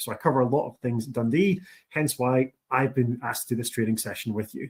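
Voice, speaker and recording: With a strong Scottish accent, a man talks at a fairly quick pace. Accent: thick Scottish. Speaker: university international officer. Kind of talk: presentation. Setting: online training session.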